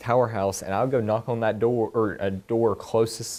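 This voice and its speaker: A man with a Southern US accent, medium pitch, moderate pace and fairly even intonation. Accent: very country Southern. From US South, East Tennessee mountains. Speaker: honors student presenting thesis. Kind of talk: research presentation and Q&A.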